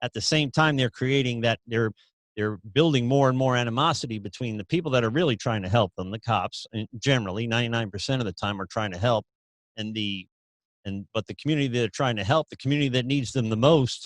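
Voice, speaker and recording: A man with a New York accent talks very fast at a medium pitch with ordinary pitch variation, the sound dry and close with no echo. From US Northeast, New York City. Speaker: podcast host. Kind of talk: interview conversation. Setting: podcast recording.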